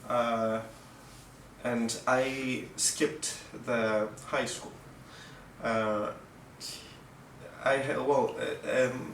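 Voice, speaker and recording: A man speaks at a medium pitch with a Russian accent, in a flat monotone at a very slow pace with long, frequent pauses. Room echo is audible and background noise is noticeable. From Mexico. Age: 20s. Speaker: violinist. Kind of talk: casual interview. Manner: halting, many fillers and restarts.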